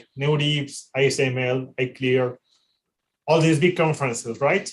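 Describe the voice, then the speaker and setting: This man has a fairly high pitch and a somewhat breathy voice. He speaks at a moderate pace with fairly even intonation. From Mexico. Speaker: AI researcher and panel organizer. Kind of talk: panel introduction on a livestream. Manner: halting, many repetitions and fillers.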